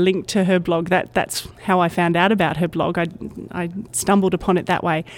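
A woman with an Australian accent, at a fairly quick pace. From Australia, Brisbane. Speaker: technical communicator. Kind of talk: interview. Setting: conference.

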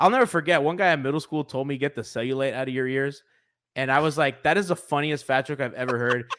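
A man with an American accent speaks in an unremarkable speaking voice, fairly high in pitch with ordinary pitch variation. The recording is very clean, with a silent background. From US, Miami suburbs. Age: 30s. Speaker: basketball podcaster. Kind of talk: casual chat.

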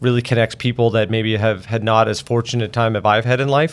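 This is a plain, everyday voice. It belongs to a man at medium pitch. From Nova Scotia, Canada. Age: 40s. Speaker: transit agency CEO. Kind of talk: interview.

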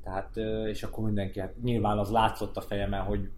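The man's dark, mellow tone carries vocal fry and fairly even intonation. He keeps a moderate pace. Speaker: amateur runner, former footballer. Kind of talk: casual chat.

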